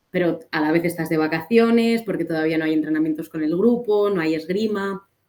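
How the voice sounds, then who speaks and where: Fairly low-pitched with a dark, mellow tone, a woman moves at a fairly quick pace with ordinary pitch variation. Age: 20s. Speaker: fencer, elite athlete. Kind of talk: interview.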